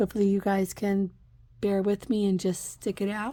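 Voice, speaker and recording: A woman speaks with a dark, mellow tone. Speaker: budgeting vlogger. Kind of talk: casual tutorial vlog.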